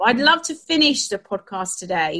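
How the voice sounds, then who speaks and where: A woman speaks at a very fast pace and a medium pitch, her voice making very wide pitch swings. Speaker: podcast host. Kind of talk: interview conversation.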